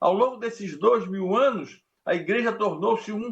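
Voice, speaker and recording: A high-pitched man speaks at a fairly slow pace with lively intonation. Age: 80s+. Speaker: pastor. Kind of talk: sermon.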